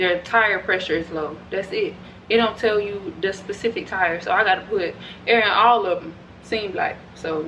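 A woman at a moderate pace, ordinary pitch variation, light background noise. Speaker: vlogger. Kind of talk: casual vlog chat. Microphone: camera far.

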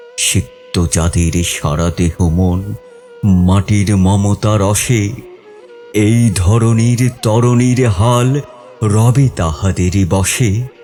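Over music in the background, a man with a fairly low pitch speaks with ordinary pitch variation and very even loudness. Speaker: poetry reciter. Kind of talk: poetry reading.

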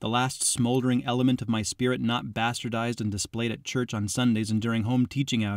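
The intonation is fairly even. The reading voice sounds natural.

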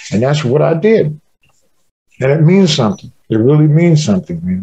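A man's somewhat breathy, fairly high voice has a dark, mellow tone and lively intonation. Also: quiet background. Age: 60s. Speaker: jazz drummer. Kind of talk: casual interview. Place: home room. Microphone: video call.

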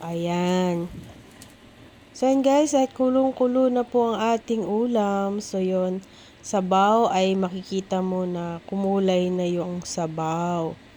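A woman speaks at a very slow pace with a dark, mellow tone. Her pitch variation is ordinary. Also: medium pitch for a woman. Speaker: cooking vlogger. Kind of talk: cooking tutorial.

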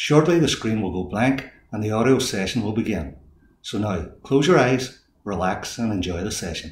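Somewhat breathy and fairly low, a man's voice moves with lively intonation through audible room echo. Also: moderate pace. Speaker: hypnotist and life coach. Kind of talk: video introduction. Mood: calm, soothing, reassuring. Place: home room.

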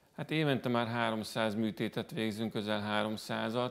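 A man's plain, everyday voice at a fairly low pitch. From Hungary. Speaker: breast cancer surgeon; guest. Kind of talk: TV studio interview. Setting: TV studio. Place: studio. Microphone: lapel.

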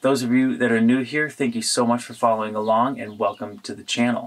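Fairly even intonation from a man. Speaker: bus conversion vlogger. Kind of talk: casual vlog chat. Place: bus.

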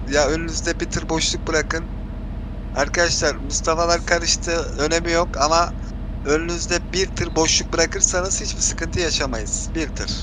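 Amid noticeable background noise, a man talks at a moderate pace in a dry sound with no echo. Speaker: gaming streamer. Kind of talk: gameplay voice chat with viewers. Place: home room.

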